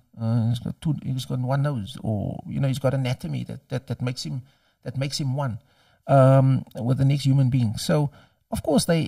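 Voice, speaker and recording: With a Cape Flats accent, a man speaks at a moderate pace in a dark, mellow, somewhat breathy voice with ordinary pitch variation. The recording is very clean, the background silent. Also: dry, close sound with no echo. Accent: Cape Flats South African English. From Cape Town, South Africa. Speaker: doctor and university lecturer. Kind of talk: interview answer.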